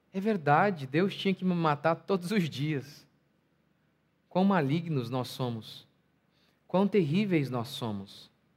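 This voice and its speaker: A man's fairly high, lively voice, very slow, with long, frequent pauses. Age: 30s. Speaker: pastor. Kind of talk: sermon.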